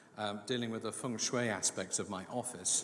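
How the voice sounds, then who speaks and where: Fairly even intonation carries this moderately paced speech in a British accent. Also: man. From England, London. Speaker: business executive. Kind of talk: formal speech. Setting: awards event.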